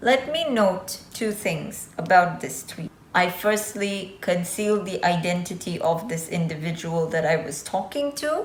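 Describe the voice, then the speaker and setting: A woman at medium pitch with lively intonation, a fairly slow pace, and hardly any pauses, plus audible room echo and noticeable background noise. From Azerbaijan. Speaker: YouTuber. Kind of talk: vlog monologue. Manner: casual.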